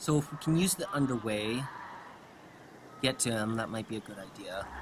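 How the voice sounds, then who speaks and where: Lively intonation over noticeable background noise. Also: man, medium pitch for a man. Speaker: gaming video creator. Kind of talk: let's play commentary. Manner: fast; casual, hesitant with fillers.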